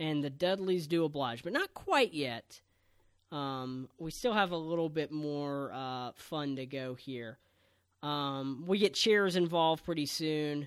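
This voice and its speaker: With an American accent, a man has an ordinary speaking voice, a fairly high pitch and ordinary pitch variation, and talks at a fairly slow pace. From Texas, San Antonio. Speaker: wrestling podcast host. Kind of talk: casual chat.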